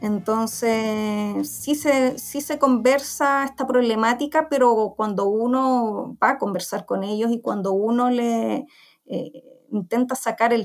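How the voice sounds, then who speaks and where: With an ordinary speaking voice, a woman talks at a fairly high pitch with ordinary pitch variation. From Chile, Santiago. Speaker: veterinarian and researcher. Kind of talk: interview. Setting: community radio program.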